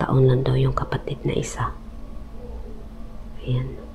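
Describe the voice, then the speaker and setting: Noticeable background noise surrounds a soft-spoken voice. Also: woman. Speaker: ghost hunting vlogger. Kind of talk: live vlog walkthrough. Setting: inside abandoned house at night. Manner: hushed, speaking softly on purpose.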